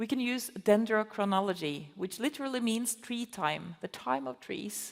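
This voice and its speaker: A woman talks at a moderate pace in a fairly high voice, her pitch swinging very widely. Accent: Norwegian. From Norway. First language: Norwegian. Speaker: conservation biology professor. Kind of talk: festival talk interview. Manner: halting, many fillers.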